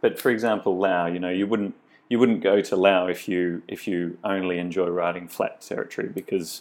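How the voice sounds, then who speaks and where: A man's very deep, low voice in a flat monotone, at a fairly quick pace. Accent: Australian. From Australia. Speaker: cycling tour company owner. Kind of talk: interview. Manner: halting.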